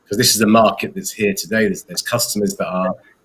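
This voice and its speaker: This is a man speaking. He has an English accent. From England. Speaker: company founder and CEO. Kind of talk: interview. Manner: hesitant, many fillers and repeats.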